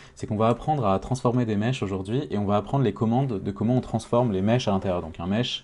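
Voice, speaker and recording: This man has a fairly low voice. The tone comes across dark and mellow. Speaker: 3D modeling tutorial maker. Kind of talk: tutorial. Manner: halting, many fillers.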